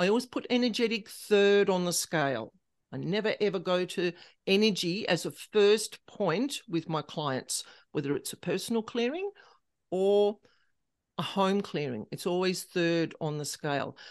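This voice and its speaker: A woman with an Australian accent talks at medium pitch and a moderate pace. Her intonation is lively, and the background is quiet. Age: 50s. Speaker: paranormal specialist. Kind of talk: interview.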